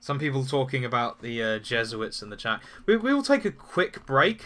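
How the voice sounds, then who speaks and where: A bright, sharp tone in a British accent at a moderate pace, on a very clean recording with a silent background. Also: man. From UK. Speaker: political commentary streamer. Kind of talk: live stream talk answering chat. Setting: live stream with chat. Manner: halting, with repeated words.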